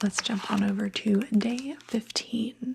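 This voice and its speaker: Soft-spoken and very slow, the voice comes through noticeable background noise. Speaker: ASMR creator. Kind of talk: ASMR unboxing.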